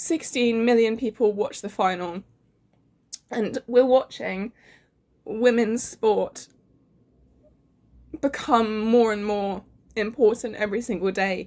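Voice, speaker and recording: A woman's fairly high voice at a fairly slow pace, fairly even intonation, long, frequent pauses. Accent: English. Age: 18. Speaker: vlogger. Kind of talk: casual chat.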